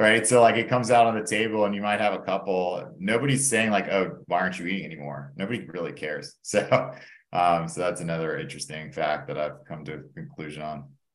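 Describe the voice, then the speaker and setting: At a very fast pace and with hardly any pauses, a man with an American accent and a fairly low pitch makes very wide pitch swings and big swings in loudness, with audible room echo. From Atlanta, Georgia, US South. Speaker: coaching client, lawyer. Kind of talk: interview.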